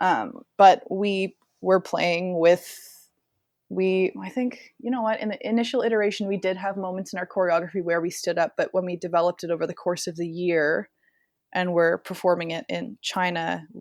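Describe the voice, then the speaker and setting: In a very clean recording with a silent background, a woman with an unremarkable speaking voice talks at medium pitch and a moderate pace, with ordinary pitch variation and a dry, close sound with no echo. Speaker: contortionist. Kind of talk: interview conversation.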